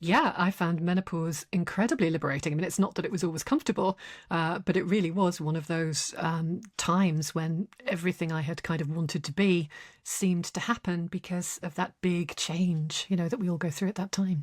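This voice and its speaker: A somewhat breathy woman's voice with fairly even intonation, dry and close with no echo, in a very clean recording with a silent background. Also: fairly low pitch for a woman, fairly quick pace. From northern England. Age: 60s. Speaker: writer and psychologist. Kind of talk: interview.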